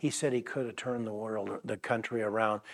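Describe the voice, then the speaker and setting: This man has a plain, everyday voice. He speaks at a moderate pace. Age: 60s. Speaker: pastor. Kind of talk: sermon. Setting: church.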